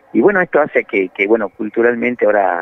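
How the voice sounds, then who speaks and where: Music plays in the background as a man talks at a fairly quick pace. The sound is dry, with no echo. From Argentina, Puna region of Salta. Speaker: journalist. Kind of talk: interview. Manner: halting, many fillers and repetitions. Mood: friendly, informative. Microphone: video call.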